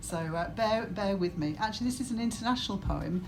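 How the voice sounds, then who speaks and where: A woman speaks at a moderate pace with ordinary pitch variation. Noticeable background noise and audible room echo fill the recording. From northern England, Cumbria. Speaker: senior university staff member, engineer. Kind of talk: welcome speech at event launch. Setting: live event with audience. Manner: halting, with repetitions.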